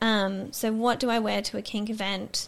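On a very clean recording with a silent background, a woman with an Australian accent talks at a fairly slow pace in a fairly high pitch. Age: 20s. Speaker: student. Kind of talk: interview testimony.

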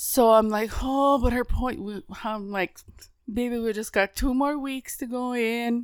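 A woman's high pitch at a fairly slow pace, with fairly even intonation, on a very clean recording with a silent background. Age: middle-aged. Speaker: podcast co-host. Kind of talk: casual chat.

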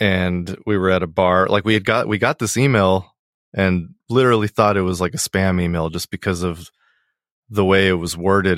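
With an American accent, a man speaks in a very deep, low pitch at a moderate pace and fairly even intonation, the very clean recording dry and close with no echo and a silent background. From Miami, US (Colombian family). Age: 40s. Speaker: musician. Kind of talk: casual chat. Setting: home basement studio.

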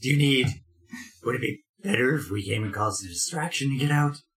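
Putting on a raspy character voice at a medium pitch, a man speaks at a moderate pace with lively intonation. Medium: actual play. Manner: blunt, hasty.

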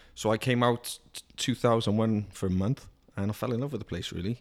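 A man with a Welsh accent speaks at a fairly low pitch. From Wales. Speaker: car dealership salesman. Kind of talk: casual chat. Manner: joking, animated.

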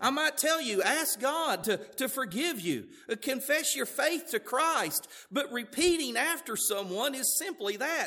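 A man with a Southern US accent speaks in a raised, projected voice at an extremely high pitch, bright and sharp in tone. His pace is fairly slow and his intonation lively. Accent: southern US drawl. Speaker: pastor. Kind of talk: sermon. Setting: church.

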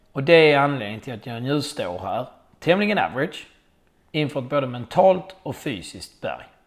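In a very clean recording with a silent background, a man with vocal fry and a fairly high pitch speaks at a moderate pace, his intonation lively and his loudness swinging widely. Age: 40s. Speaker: podcast host and amateur triathlete. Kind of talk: scripted monologue.

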